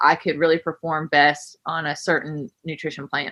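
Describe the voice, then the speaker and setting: In a West Virginia accent, a woman with a bright, sharp tone and fairly low pitch speaks against a quiet background. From West Virginia, Camp Creek. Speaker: gym owner and coach. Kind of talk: podcast interview.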